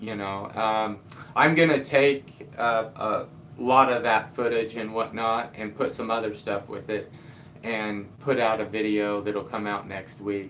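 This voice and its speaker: A man mumbles at a fairly slow pace in a medium pitch. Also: fairly even intonation. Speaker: DIY carpenter and video creator. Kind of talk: live stream chat. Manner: mumbling.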